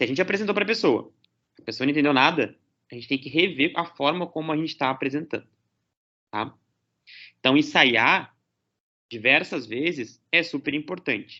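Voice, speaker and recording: The speaker uses lively intonation broken up by long, frequent pauses. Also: man, fairly high pitch for a man, moderate pace. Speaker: lecturer. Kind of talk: lecture.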